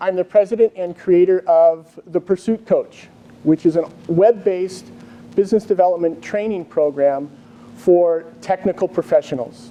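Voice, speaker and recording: A man with an American accent and a high pitch, at a moderate pace with ordinary pitch variation, over noticeable background noise. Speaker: engineer and business development trainer. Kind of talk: conference presentation. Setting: conference room with live audience.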